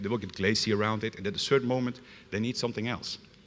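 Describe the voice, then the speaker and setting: With a Dutch accent, a man talks at a medium pitch in a bright, sharp tone with ordinary pitch variation. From Netherlands. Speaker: security consultant. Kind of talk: conference talk. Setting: stage with audience. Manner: fast.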